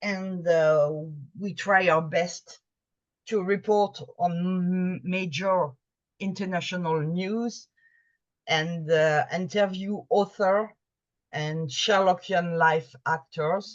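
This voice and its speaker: With a French accent, the speaker moves at a very slow pace with long, frequent pauses and fairly even intonation. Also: woman, medium pitch for a woman. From France. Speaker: Sherlockian magazine editor. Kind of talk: presentation to a video meeting. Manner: halting, with fillers and restarts.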